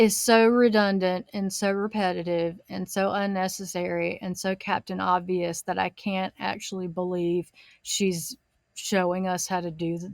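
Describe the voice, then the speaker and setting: In a very clean recording with a silent background, a woman with a Southern US accent talks fairly slowly at a medium pitch, her intonation flat and monotone. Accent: Southern US drawl. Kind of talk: commentary podcast talk.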